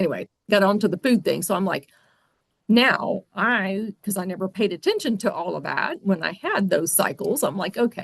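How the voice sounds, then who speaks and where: A somewhat breathy woman at medium pitch, with ordinary pitch variation and a moderate pace. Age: 60s. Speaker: podcast host. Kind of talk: casual chat.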